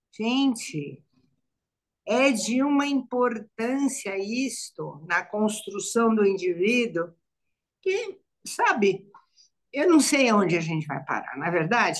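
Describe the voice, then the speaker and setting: A woman speaks at a very slow pace with long, frequent pauses. Her fairly high pitch makes very wide swings. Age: 70s. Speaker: psychologist. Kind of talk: live panel discussion. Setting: online live stream. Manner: halting, repetitive.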